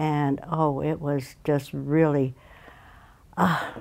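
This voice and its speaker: Her American accent carries a very deep, low pitch, a dark, mellow tone and fairly even intonation in this woman's speech. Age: 80s+. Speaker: internment camp survivor. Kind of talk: interview. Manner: halting with many fillers.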